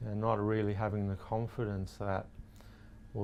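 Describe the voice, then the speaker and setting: A monotone, flat intonation carries a dark, mellow tone. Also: man. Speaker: person who stutters. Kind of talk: interview. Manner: stutter.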